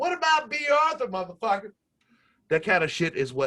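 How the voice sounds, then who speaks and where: A man uses a raised, projected voice with a bright, sharp tone and very wide pitch swings. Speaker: podcast host. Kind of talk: casual chat. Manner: fast.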